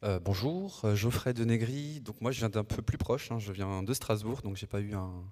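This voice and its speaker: The voice has a dark, mellow tone and ordinary pitch variation, moving at a moderate pace with hardly any pauses. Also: man, fairly low pitch for a man. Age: 40s. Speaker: future housing buyer giving testimony. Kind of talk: panel testimony.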